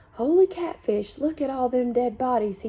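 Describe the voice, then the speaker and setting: A woman puts on a squeaky, high-pitched character voice at a moderate pace. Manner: frightened, sensitive.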